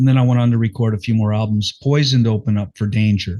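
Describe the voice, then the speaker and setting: A fairly low, somewhat breathy male voice with a dark, mellow tone at a very fast pace. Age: 60s. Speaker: podcast host, former rock singer. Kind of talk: interview. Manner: animated, stammering.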